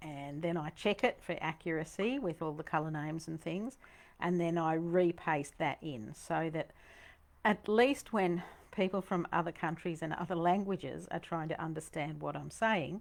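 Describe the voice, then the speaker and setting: A woman with a Queensland accent and fairly low pitch speaks at a moderate pace with ordinary pitch variation, on a very clean recording with a silent background. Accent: Australian (Queensland). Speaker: painting teacher. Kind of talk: tutorial. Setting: studio. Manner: animated.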